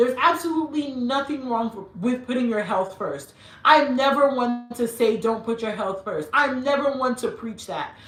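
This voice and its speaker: A woman with an American accent speaks at a moderate pace in a high pitch, with hardly any pauses and ordinary pitch variation. Her tone is animated, and noticeable background noise runs underneath. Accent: Nigerian accent switching back and forth. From Nigeria and US, mixed upbringing. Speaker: style YouTuber. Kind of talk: live-stream Q&A chat.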